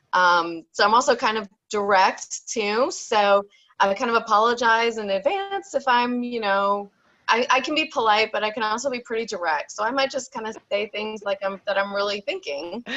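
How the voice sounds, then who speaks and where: Loud and bright with a sharp tone, a woman speaks at a fairly high pitch and moderate pace. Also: ordinary pitch variation. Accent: American. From New York, Long Island. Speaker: therapist. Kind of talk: online summit talk.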